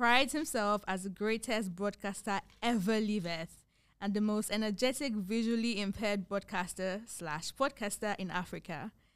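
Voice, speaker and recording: Moderately paced speech from a woman, medium in pitch and ordinary in its pitch variation. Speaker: podcast host. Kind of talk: casual chat. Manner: animated.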